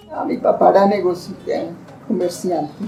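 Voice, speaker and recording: With music in the background and audible room echo, a woman speaks. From Colombia, Valle del Cauca. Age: old. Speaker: grandmother giving life testimony. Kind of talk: testimony.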